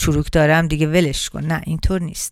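Over a silent background in a very clean recording, a woman talks at a very fast pace in a fairly low pitch. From Iran. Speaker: radio host and beauty specialist. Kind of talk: radio talk show monologue.

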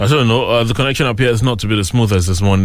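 A man talks very fast in a fairly low voice with ordinary pitch variation. The room echo is audible. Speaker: radio host. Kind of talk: morning news review and phone-in.

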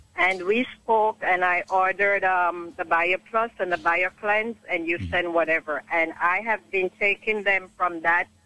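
Music in the background behind a woman of medium pitch, her pitch variation ordinary. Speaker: caller. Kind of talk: testimony. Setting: phone call.

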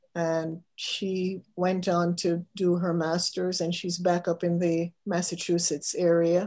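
A woman speaks very slowly in a fairly low, dark and mellow voice, her intonation flat and monotone. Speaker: alumni association committee member. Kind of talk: interview.

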